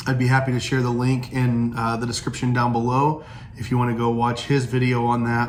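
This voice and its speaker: In an American accent, the speaker moves at a fairly quick pace with monotone, flat intonation and very even loudness, the recording carrying audible room echo and noticeable background noise. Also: man, medium pitch for a man. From US Midwest, Southern Illinois. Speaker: pastor. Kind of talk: casual vlog talk. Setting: indoors, storm outside. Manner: halting, many fillers and restarts.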